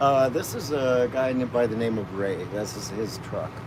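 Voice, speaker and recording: A man with a Canadian accent talks at a fairly slow pace, medium in pitch, with ordinary pitch variation. Noticeable background noise and audible room echo surround him. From Canada. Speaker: protester. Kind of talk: interview. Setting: inside a truck cabin. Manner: halting.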